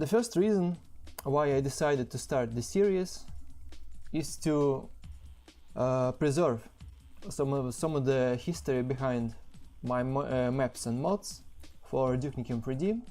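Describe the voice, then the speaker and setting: A strong non-native accent at a fairly slow pace, long and frequent pauses, music in the background. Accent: heavy non-native English. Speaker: game level designer. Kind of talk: developer commentary over gameplay. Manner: hesitant, many fillers.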